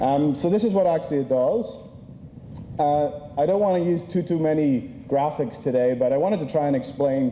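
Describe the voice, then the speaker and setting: A man speaks at a moderate pace and a fairly high pitch, with ordinary pitch variation. His loudness stays very even, and there is audible room echo. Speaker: conference speaker. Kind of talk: conference presentation.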